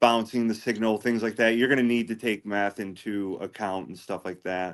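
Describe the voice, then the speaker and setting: In an ordinary speaking voice, a man with fairly low pitch talks at a moderate pace, his intonation fairly even but his loudness swinging widely. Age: 40s. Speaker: ham radio hobbyist. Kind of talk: casual chat.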